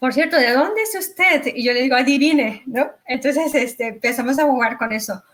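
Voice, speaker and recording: A high-pitched woman speaks at a fairly quick pace with lively intonation and hardly any pauses. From Mexico. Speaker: real estate investor and agent. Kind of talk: interview.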